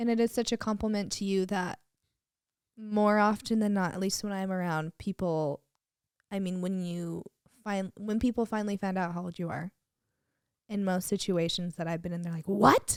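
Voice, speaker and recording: On a very clean, dry, close recording with a silent background and no echo, a woman speaks at a moderate pace and medium pitch with fairly even intonation and long, frequent pauses. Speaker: podcast guest, host's wife. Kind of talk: casual chat.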